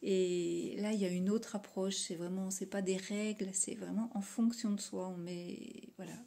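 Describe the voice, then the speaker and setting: With hardly any pauses, a woman talks at a fairly slow pace in a medium pitch and monotone, flat intonation. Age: 50s. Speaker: aspiring coach. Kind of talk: testimonial.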